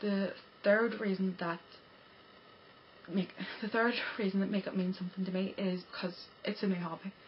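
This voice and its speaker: A woman's medium-pitched voice, monotone and flat, with long, frequent pauses over noticeable background noise. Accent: Irish. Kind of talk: casual talk to camera. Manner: fast, stammering, breathless.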